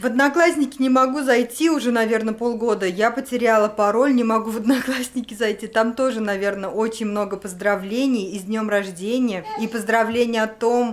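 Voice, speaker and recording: Her intonation fairly even, a woman talks at a moderate speed. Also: hardly any pauses. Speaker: vlogger. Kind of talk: casual vlog chat. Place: home room. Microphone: phone near.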